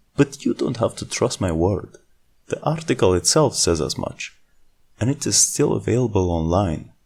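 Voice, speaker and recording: With a non-native accent and vocal fry, the voice moves at a moderate pace through very wide pitch swings. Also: man. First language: not English. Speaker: video essayist. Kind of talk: scripted commentary.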